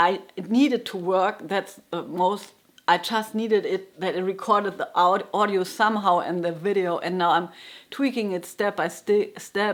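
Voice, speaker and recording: A woman with a German accent speaks at a medium pitch. Her intonation stays fairly even. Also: moderate pace. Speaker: jazz guitarist and music teacher. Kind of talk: casual vlog monologue. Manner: halting, with frequent restarts.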